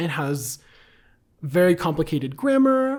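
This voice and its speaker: Lively intonation marks this man's speech. The recording is very clean, with a silent background. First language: Bulgarian. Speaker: Sanskrit scholar. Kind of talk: conversational discussion. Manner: frequent filler ums.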